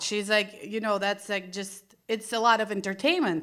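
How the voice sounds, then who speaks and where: In a Russian accent, a woman speaks with a fairly high pitch and a bright, sharp tone on a very clean recording with a silent background. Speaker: stand-up comedian. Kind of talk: stand-up. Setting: stage with audience.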